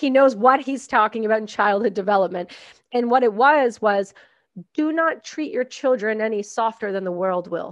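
Speaking in a Canadian accent, a woman with a fairly high voice talks at a moderate pace with ordinary pitch variation, the sound dry with no echo and the background quiet. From Canada. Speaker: podcast host and military veteran; podcast host. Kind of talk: casual interview. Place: home room. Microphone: studio mic.

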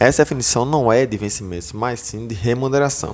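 A man with an ordinary speaking voice talks at medium pitch and a moderate pace. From Northeast Brazil, João Pessoa, Paraíba; Paraíba, Brazil. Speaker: exam-prep teacher / educational YouTuber; exam-prep teacher, educational YouTuber. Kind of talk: tutorial. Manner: casual, filler-heavy (tá, beleza).

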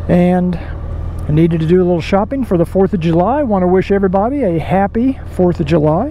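A man's high-pitched voice at a fairly quick pace, with light background noise. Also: hardly any pauses, dry sound with no echo. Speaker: motovlogger. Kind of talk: casual vlog chat. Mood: relaxed, friendly. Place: motorbike.

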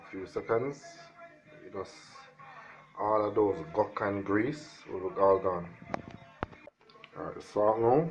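A man's fairly low voice in a Jamaican accent, lively intonation, fairly slow pace, long and frequent pauses, music in the background. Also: big swings in loudness. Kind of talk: DIY tutorial talk to camera. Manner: casual.

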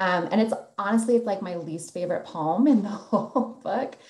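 A woman talks at a moderate pace with audible room echo. The background is quiet. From South Dakota. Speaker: poet. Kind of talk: poetry reading; panel discussion. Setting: video call. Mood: warm, reflective, some laughter. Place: home room. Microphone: video call.

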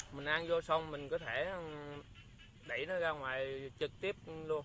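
A man's bright, sharp tone carries fairly even intonation in a dry sound with no echo and light background noise. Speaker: food vlogger. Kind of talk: casual vlog chat. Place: open country. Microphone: phone near.

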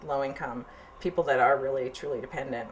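The speech runs at a very fast pace over light background noise. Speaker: interviewee. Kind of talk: interview answer. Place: office.

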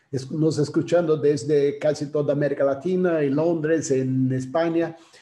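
A man with a Brazilian accent at a fairly slow pace, with audible room echo and a quiet background. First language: Portuguese (speaking Spanish). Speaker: graphic designer, author and curator; panelist, design educator. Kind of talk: presentation. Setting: video call. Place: home room. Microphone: video call.

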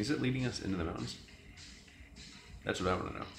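Audible room echo surrounds a man's voice, with clear music playing in the background. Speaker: gamer. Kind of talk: casual gameplay commentary. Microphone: phone near.

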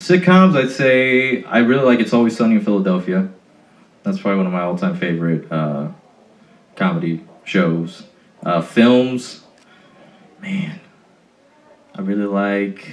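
The man's delivery moves at a moderate pace, broken by long, frequent pauses. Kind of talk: interview answer. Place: hall.

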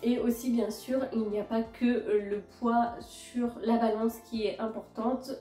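Very slow, flat, monotone speech from a woman at fairly high pitch, with audible room echo and faint music in the background. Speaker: fitness content creator. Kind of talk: casual talk to camera. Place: home room. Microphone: phone near.

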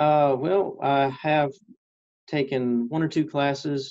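Against a quiet background, a man with a Texan accent talks with fairly even intonation. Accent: Texan American. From East Texas. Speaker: radio reporter and photographer; interviewee. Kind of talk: interview. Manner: hesitant with fillers. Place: office. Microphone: webcam.

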